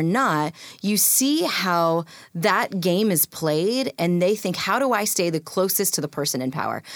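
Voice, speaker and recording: A woman with an American accent has an ordinary speaking voice at medium pitch. Her intonation is lively, and the recording is very clean with a silent background. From rural US, adopted from India as a toddler. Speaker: author and speaker. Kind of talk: interview.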